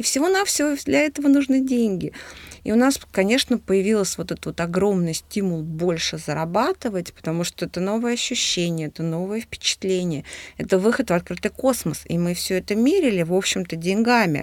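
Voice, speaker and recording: A woman's plain, everyday voice with lively intonation at a fairly quick pace. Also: medium pitch for a woman. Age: 40s. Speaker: businesswoman, podcast co-host. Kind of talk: casual chat.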